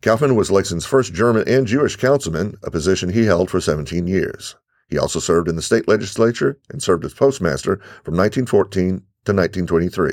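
In a very clean recording with a silent background, a man with a plain, everyday voice and fairly low pitch talks at a fairly quick pace with lively intonation. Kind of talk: self-guided audio walking tour, scripted narration. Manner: formal, measured, clear; instructional, giving step-by-step directions.

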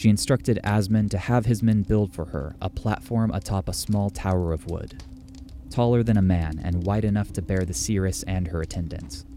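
The voice has a solemn, dramatic tone and ordinary pitch variation at a moderate pace. Music plays in the background. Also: man, very deep, low pitch for a man. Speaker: narrator. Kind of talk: saga narration, scripted storytelling. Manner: solemn, measured, dramatic.

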